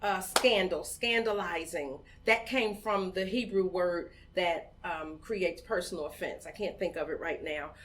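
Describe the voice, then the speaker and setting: This woman speaks with an American accent at a medium pitch and a moderate pace. Her pitch variation is ordinary, and there is noticeable background noise. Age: 50s. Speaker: community organizer, founder of women's voting group. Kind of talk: podcast interview.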